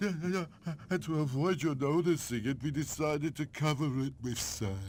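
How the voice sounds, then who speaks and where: A man uses a cartoonish character voice at a fairly high pitch and a moderate pace. Clear background noise is present. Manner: stammering, sheepish.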